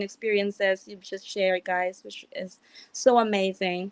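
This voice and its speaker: A woman talks at a moderate pace, with a quiet background behind her. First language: not English. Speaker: event host / moderator. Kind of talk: panel discussion wrap-up.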